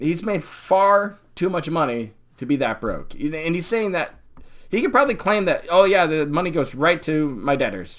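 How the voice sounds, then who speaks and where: An animated tone at a moderate pace. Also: man. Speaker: YouTube commentator. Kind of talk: live stream commentary.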